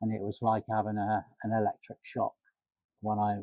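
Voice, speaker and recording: A man with a fairly low pitch speaks at a moderate pace. His intonation is monotone and flat. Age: 60s. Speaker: cancer patient undergoing chemotherapy. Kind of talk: interview answer.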